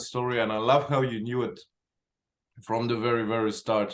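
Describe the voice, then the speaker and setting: A man's voice at a medium pitch. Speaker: podcast host. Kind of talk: interview.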